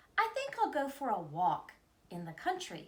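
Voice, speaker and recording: Putting on a character voice, a woman speaks at a moderate pace in a high pitch, with very wide pitch swings and big swings in loudness. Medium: read story.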